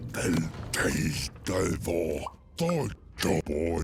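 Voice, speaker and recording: A put-on character voice growls through the lines. Background noise is clearly heard. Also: man, very deep, low pitch for a man. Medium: video game. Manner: babbling nonsense language.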